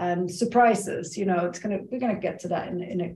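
A somewhat breathy female voice of medium pitch with a dark, mellow tone. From Sweden. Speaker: podcast co-host and alcohol-free coach. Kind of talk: recorded live webinar with slides. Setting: live online event. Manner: quiet.

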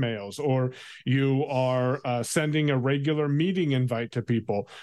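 Against a quiet background, a man with an ordinary speaking voice and a fairly high pitch talks at a fairly slow pace with ordinary pitch variation. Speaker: tech commentator. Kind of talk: tech segment chat.

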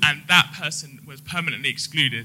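A man speaks at a moderate pace. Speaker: lawyer, audience member at a live podcast recording. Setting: live audience event.

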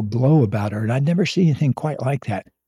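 Somewhat breathy and dark, mellow in tone, a man's voice moves with lively intonation in a dry, close sound with no echo. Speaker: psychologist and relationship author. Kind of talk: casual chat. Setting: at home.

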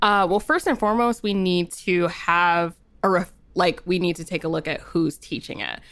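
In an ordinary speaking voice, a woman talks at a moderate pace with a fairly low pitch and fairly even intonation, on a very clean recording with a silent background. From New Jersey. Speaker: sex educator and writer. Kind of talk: interview.

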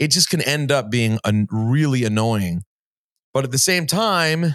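The speaker uses lively intonation at a fairly slow pace, in a very clean recording with a silent background and a dry, close sound with no echo. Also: man. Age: 40s. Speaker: sports and music radio host, podcaster. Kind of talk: interview conversation.

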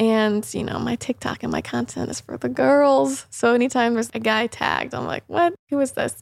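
A woman talks at a moderate pace with hardly any pauses. The sound is dry and close, with no echo. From Indiana, US Midwest. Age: 20s. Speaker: wellness podcast host. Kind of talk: casual chat.

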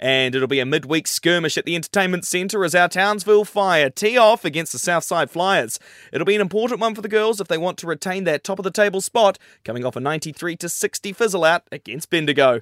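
In an Australian accent, a man talks very fast at a high pitch with lively intonation, the sound dry and close with no echo. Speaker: radio news reader. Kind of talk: formal regional radio newsreading, brisk bulletin delivery. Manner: crisp, even, businesslike; brisk and clear with a newsy cadence.

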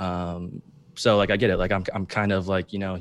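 A man at a fairly quick pace. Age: 20s. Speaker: reality TV contestant. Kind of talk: interview. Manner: hesitant with many fillers.

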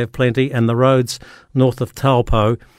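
A man with a New Zealand accent, medium pitch, fairly even intonation and a moderate pace. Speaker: rural radio host. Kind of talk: casual chat. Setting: radio studio link. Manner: halting.

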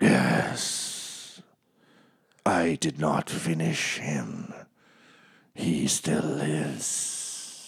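In a put-on character voice, a man growls in a very deep, low, raspy pitch, moving at a very slow pace with long, frequent pauses. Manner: snarling.

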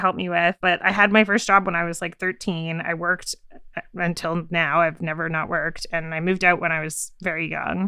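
Speaking at a fairly quick pace, a woman uses a normal speaking voice with a fairly low pitch. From Canada. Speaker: podcast producer. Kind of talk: casual chat.

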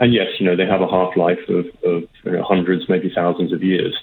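The speaker is a man with a British accent. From Britain. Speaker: energy policy expert. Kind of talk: radio interview. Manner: hesitant, fills with 'um'.

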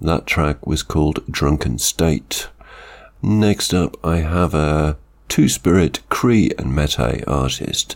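A man speaks at a very slow pace with a very deep, low pitch and ordinary pitch variation. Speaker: radio music show host. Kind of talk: radio DJ links between songs. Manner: brief, minimal speech.

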